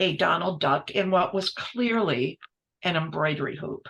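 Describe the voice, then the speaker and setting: Vocal fry runs through a woman's voice as she talks at a moderate pace. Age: 70s. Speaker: multidisciplinary textile artist; guest. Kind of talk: interview conversation. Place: workshop.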